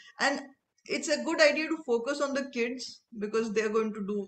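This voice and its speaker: With lively intonation, a woman speaks at a high pitch and a moderate pace. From India. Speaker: interviewer. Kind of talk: interview. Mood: warm, smiling. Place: home room. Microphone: video call.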